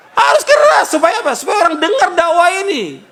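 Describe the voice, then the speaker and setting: Raising and projecting his voice, a man speaks with very wide swings in pitch. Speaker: Islamic preacher. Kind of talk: sermon. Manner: loud; emphatic, rhetorical questions.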